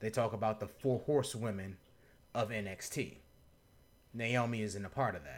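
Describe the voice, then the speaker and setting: In a very clean recording with a silent background, a man with a fairly low pitch and vocal fry speaks at a moderate pace. He has ordinary pitch variation and takes long, frequent pauses. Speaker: wrestling podcast co-host. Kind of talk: casual chat.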